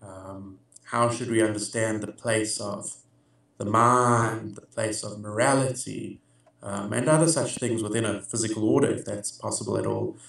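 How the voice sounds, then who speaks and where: A man talks at a moderate pace in an American accent, his intonation fairly even. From South Africa. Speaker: philosopher. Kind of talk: interview answers. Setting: video call. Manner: hesitant, many filler words.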